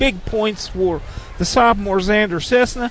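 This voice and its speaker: The speaker moves at a fairly slow pace with ordinary pitch variation, and noticeable background noise is present. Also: man. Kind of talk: sports commentary, analysis between plays. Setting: courtside in a high school gym. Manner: conversational, measured, stat-filled.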